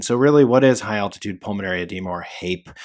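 On a very clean recording with a silent background, a man with an American accent speaks in a plain, everyday voice at a fairly low pitch and fairly quick pace, with ordinary pitch variation. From mountain town, US West. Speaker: EMS educator and podcast host. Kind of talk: educational case review monologue. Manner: casual, filler-heavy.

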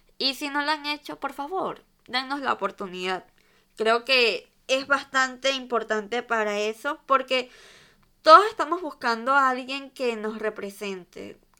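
On a very clean recording with a silent background, a woman projects a raised voice, high-pitched and bright and sharp in tone, with lively intonation at a fairly slow pace. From Venezuela. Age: 20s. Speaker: fashion podcaster. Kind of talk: casual solo monologue.

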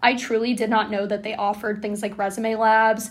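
This woman has a fairly high pitch. She speaks at a fairly quick pace. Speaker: student podcast co-host. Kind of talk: casual chat.

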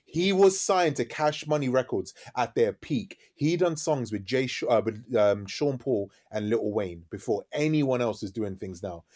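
A man at medium pitch swings very widely up and down in pitch. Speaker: DJ and radio host. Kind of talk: casual interview chat. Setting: podcast studio. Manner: fast talker.

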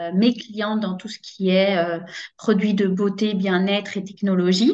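The pace of this woman's speech is very slow. Her pitch sits in the medium range. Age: 30s. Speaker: network marketing coach, former teacher. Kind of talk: interview testimony.

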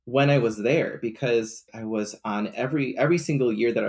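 Recorded very cleanly with a silent background, a man speaks at a medium pitch with vocal fry, ordinary pitch variation and a moderate pace. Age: 20s. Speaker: counselor and social media advocate. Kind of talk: casual chat.

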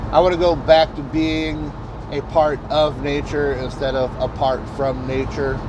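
Noticeable background noise and audible room echo surround a man talking at a fairly slow pace. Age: 40s. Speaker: podcast host, delivery driver. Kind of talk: casual monologue. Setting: in a delivery vehicle on the road. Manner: halting, many fillers and repetitions.

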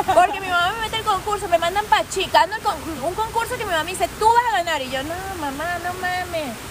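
A woman speaks at a very fast pace in an extremely high pitch, with ordinary pitch variation. Her loudness swings widely, and background noise is noticeable. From Venezuela. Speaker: influencer and entrepreneur. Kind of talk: casual interview. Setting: recorded inside a market.

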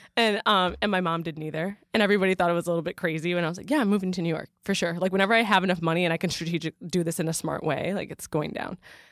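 Speaking at a very fast pace with hardly any pauses, a woman with an American accent keeps her intonation fairly even on a very clean recording with a silent background. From Michigan, US Midwest. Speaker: marketing associate. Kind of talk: interview, casual. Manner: chatty, many fillers.

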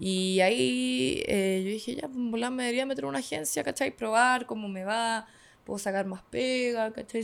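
Recorded very cleanly against a silent background, the speaker talks with a Chilean accent. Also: woman. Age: 20s. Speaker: streamer and model. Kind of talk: casual chat.

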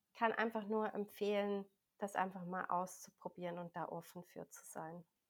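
A woman's medium-pitched voice with monotone, flat intonation and big swings in loudness. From Switzerland. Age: 40s. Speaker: health coach and energy healing practitioner. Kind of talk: interview.

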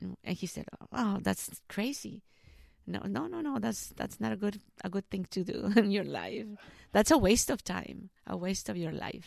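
This woman talks at a fairly slow pace with a Spanish accent. The recording is very clean, with a silent background. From Mexico, Jalisco. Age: 30s. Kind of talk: interview about vocation. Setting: school library.

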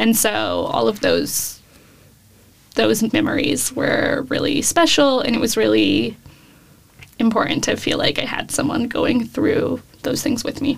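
With an American accent, the speaker goes at a fairly slow pace with long, frequent pauses over noticeable background noise. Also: woman. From Davis, California. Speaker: journalism student and podcast producer. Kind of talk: casual interview.

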